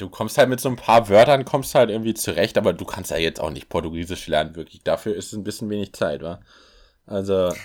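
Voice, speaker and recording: A man's fairly low voice at a very fast pace, with lively intonation and big swings in loudness, on a very clean recording with a silent background. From Berlin, Germany. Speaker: podcast co-host. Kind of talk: casual chat.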